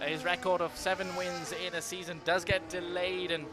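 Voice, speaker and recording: This man's voice sits high in pitch. Noticeable background noise runs under it. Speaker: sim racing commentator. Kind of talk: live commentary. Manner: fast; animated.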